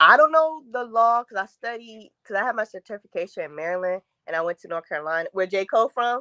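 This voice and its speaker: Very fast and lively in intonation, the voice has a bright, sharp tone and big swings in loudness, recorded dry and close with no echo. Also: woman, fairly high pitch for a woman. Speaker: TV show discussion panelist. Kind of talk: casual chat.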